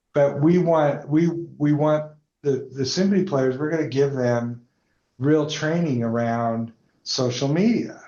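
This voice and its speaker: This is a plain, everyday voice, a man with an American accent speaking at a fairly high pitch with ordinary pitch variation. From Denver, Colorado, raised partly in Atlanta. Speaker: entrepreneur. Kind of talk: interview conversation.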